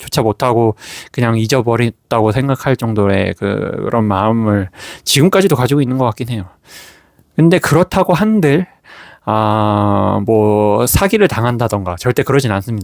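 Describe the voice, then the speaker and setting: A man with an ordinary speaking voice and a medium pitch talks with lively intonation, the sound dry and close with no echo in a very clean recording with a silent background. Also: moderate pace. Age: 40s. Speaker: gratitude journal YouTuber. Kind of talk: casual talk to camera.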